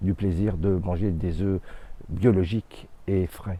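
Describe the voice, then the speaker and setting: The voice has a dark, mellow tone and fairly even intonation, moving at a very slow pace. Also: man. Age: 60s. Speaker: hobby chicken keeper. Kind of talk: interview testimony. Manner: hesitant, many fillers.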